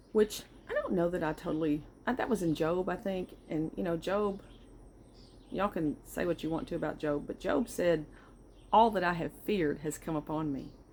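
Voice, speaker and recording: A woman with a fairly low pitch and ordinary pitch variation speaks at a moderate pace. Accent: Southern US. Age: 60s. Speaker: vlogger. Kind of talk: casual personal monologue. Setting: outdoors on back porch.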